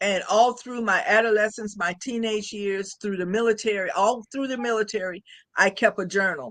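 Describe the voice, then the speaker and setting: A woman talks at a moderate pace in a fairly high pitch with ordinary pitch variation. She has a plain, everyday voice. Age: 60s. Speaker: author and military retiree. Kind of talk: interview.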